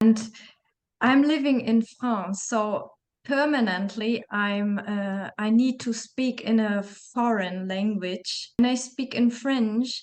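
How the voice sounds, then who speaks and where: Speaking with a German accent, a woman has a fairly high pitch. Her pace is very slow and her intonation fairly even. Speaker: interview host. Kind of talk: interview conversation.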